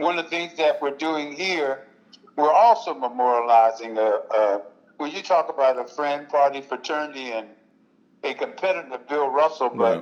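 An ordinary speaking voice from a man with an American accent, lively in intonation, at a moderate pace. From US, West Philadelphia. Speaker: retired basketball player. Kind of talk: casual interview.

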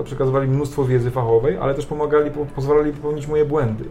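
Noticeable background noise sits behind a man with a fairly high pitch. He talks at a very fast pace in a monotone, flat intonation. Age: 30s. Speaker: volleyball coach. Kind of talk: casual interview. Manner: halting.

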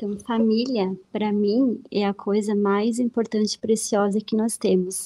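A woman's dark, mellow tone at medium pitch, very slow pace and fairly even intonation. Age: 30s. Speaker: host's wife. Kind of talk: casual chat. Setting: live stream.

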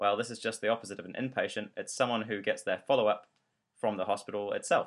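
A man speaks with a New Zealand accent. His pitch is medium. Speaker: podcast host, trainee doctor. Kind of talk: educational podcast narration.

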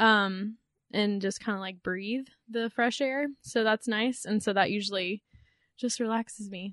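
In a quiet background, a woman speaks with a plain, everyday voice, fairly high in pitch, at a fairly slow pace with fairly even intonation. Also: dry, close sound with no echo. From Texas, Dallas area. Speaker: human resources coordinator, podcast co-host. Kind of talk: casual chat.

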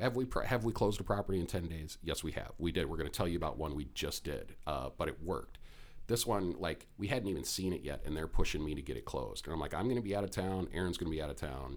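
A man's very deep, low pitch with vocal fry and lively intonation, at a very fast pace with hardly any pauses. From Minnesota. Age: 40s. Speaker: real estate investor and podcast host. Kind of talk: casual chat.

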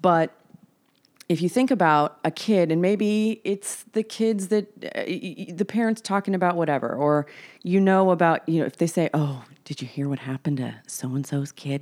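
A plain, everyday voice from a woman, fairly low-pitched with lively intonation at a moderate pace, on a very clean recording with a silent background. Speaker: guest, host's sister. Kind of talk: casual chat.

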